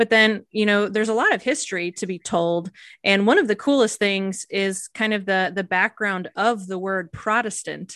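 A woman speaks in a normal speaking voice at a moderate pace, her medium pitch and fairly even intonation captured in a dry, close sound with no echo against a quiet background. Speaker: pastor and podcast host. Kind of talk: casual conversation between mother and daughter.

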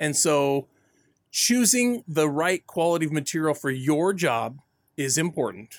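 This man has an unremarkable speaking voice, pitched fairly high. He talks at a fairly slow pace with lively intonation. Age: 40s. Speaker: home improvement radio show co-host. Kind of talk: casual chat.

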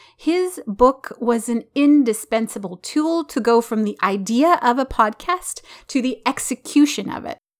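With a warm, enthusiastic tone and lively intonation, a woman speaks at a high pitch and a fairly slow pace with hardly any pauses. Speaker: podcast host and graphologist. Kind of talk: interview podcast with handwriting analysis.

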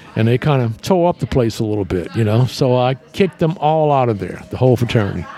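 A man with a New Orleans accent speaks at a medium pitch over noticeable background noise. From US South. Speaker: nightclub owner. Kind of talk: casual chat.

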